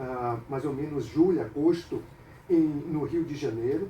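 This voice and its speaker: A man with a fairly high pitch speaks at a fairly slow pace with ordinary pitch variation over noticeable background noise. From Brazil, Salvador (Bahia). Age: 50s. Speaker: capoeira master. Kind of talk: radio interview. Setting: radio studio.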